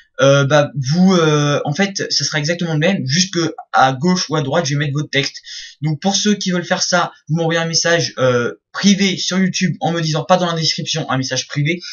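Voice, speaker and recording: A man talks at a fairly quick pace. His pitch is high, with fairly even intonation. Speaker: YouTube graphic design creator. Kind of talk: tutorial. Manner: fast; hesitant, many fillers.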